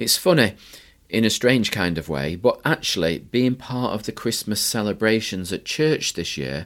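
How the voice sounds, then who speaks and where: In a northern English accent, a man with a fairly low pitch talks at a fairly slow pace, his pitch swinging very widely, on a very clean recording with a silent background. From northern England. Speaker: Methodist minister, podcast host. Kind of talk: reflective monologue.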